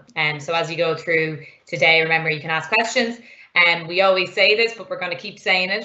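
Audible room echo follows a woman with a fairly low pitch who talks at a fairly quick pace with fairly even intonation. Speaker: online programming teacher. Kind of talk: lecture. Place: home room. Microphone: webcam.

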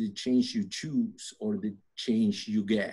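In a Spanish accent, a man with a dark, mellow tone talks at a very slow pace with very wide pitch swings against a quiet background. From Argentina. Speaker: construction preconstruction director; podcast guest. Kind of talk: interview conversation. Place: office. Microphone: webcam.

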